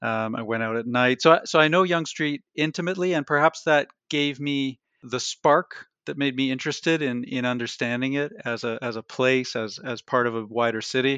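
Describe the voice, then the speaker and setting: A man with a Canadian accent, medium in pitch with ordinary pitch variation and a bright, sharp tone, at a moderate pace, in a dry, close sound with no echo and a quiet background. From Canada, Toronto. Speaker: history professor and author. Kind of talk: interview. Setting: remote call from his office.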